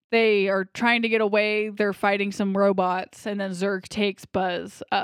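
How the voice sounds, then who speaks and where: In an ordinary speaking voice, a woman talks at a fairly slow pace with a fairly high pitch and fairly even intonation. The recording is very clean and dry, close with no echo and a silent background. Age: 20s. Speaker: movie podcast host. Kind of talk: casual chat.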